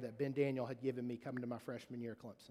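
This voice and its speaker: A man with a Mississippi accent talks at a very fast pace. His pitch sits in the medium range. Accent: US Southern (Mississippi). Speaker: pastor. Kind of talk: sermon. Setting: church. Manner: animated.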